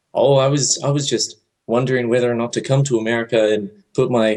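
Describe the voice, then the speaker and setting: At a moderate pace, a man with a non-native accent speaks with fairly even intonation. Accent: foreign. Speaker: caller. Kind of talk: call-in chat. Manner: hesitant.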